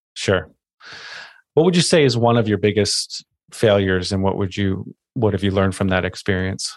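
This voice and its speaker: This is a man with a normal speaking voice. The background is quiet. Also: fairly low pitch for a man, ordinary pitch variation, moderate pace. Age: 40s. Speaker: podcast host. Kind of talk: casual chat.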